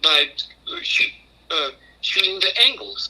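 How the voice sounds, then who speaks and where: A man speaks over noticeable background noise. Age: 80s+. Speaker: martial arts master. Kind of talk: interview answer.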